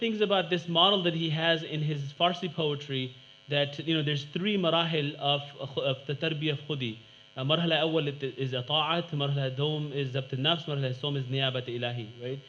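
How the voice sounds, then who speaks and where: Speech moves at a fairly quick pace with ordinary pitch variation. Room echo is audible. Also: man, fairly high pitch for a man. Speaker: academic panel speaker. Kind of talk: conference presentation. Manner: fast.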